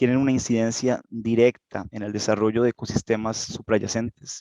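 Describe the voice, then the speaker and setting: At a moderate pace, the voice stays monotone with flat intonation, in a dry, close sound with no echo. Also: man. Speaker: geologist. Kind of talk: lecture. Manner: halting.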